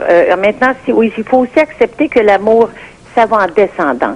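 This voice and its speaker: Noticeable background noise surrounds a woman speaking at a fairly slow pace with lively intonation. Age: 60s. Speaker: caller. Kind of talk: radio call-in opinion.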